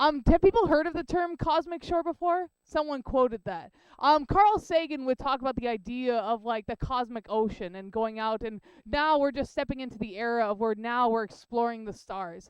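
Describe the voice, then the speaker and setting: Loud and high-pitched, a woman speaks in a Canadian accent with lively intonation. The sound is dry and close, with no echo. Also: moderate pace. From Canada. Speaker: heliophysics professor. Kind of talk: public science lecture. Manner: casual, filler-heavy.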